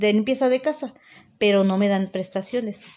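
Fairly high in pitch and fairly even in intonation, a woman talks with an ordinary speaking voice. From Mexico, Puebla state (Teziutlán). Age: 50s. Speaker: house cleaner. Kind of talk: interview testimony.

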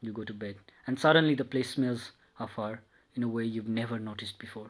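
An intense tone from a man at medium pitch and a fairly quick pace, on a very clean recording with a silent background. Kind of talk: dramatic second-person narration, reading a love story aloud. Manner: intense, confessional, building from tender to obsessive; repetitive, incantatory, stumbling and self-correcting at times.

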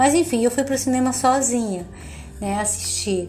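Fairly high-pitched, a woman talks with ordinary pitch variation. The recording has audible room echo and noticeable background noise. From Bahia, Recôncavo Baiano, Brazil. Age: 50s. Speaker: podcaster telling her life story. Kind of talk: personal storytelling monologue.

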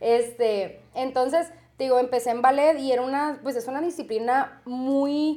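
A woman with a dark, mellow tone speaks at a high pitch and fairly slow pace, her intonation fairly even. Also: very clean recording, silent background. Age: 30s. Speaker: tattoo artist. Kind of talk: interview. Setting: tattoo studio.

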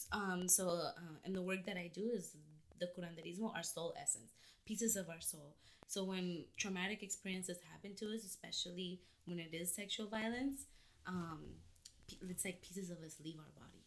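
A woman at medium pitch and moderate pace speaks in a normal speaking voice with ordinary pitch variation and big swings in loudness. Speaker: healer. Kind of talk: casual chat.

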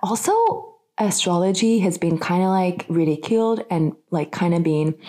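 In an American accent, a woman with a dark, mellow tone and fairly low pitch speaks fairly slowly with lively intonation.

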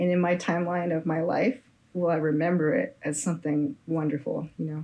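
An unremarkable speaking voice with an American accent. It moves at a moderate pace with lively intonation. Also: woman. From San Francisco Bay Area, California. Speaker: musician. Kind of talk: interview.

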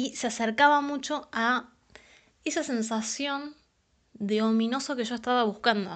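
A woman speaks in an animated tone with a high pitch at a fairly slow pace. The background is quiet. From Argentina, San Pedro, Buenos Aires province. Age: 20s. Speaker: writer, anthology author. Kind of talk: casual testimony.

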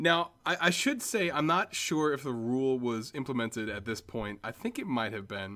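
A man speaks with an ordinary speaking voice at medium pitch and a moderate pace. His intonation is lively, with hardly any pauses. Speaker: podcast co-host. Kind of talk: casual comedic chat about a movie. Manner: casual, filler-heavy, jokey.

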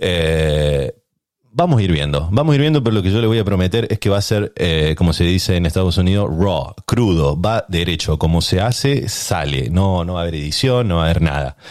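Very deep and low in pitch, a man speaks at a fairly quick pace with lively intonation. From Argentina, Córdoba. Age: 30s. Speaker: podcast host. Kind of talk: casual chat.

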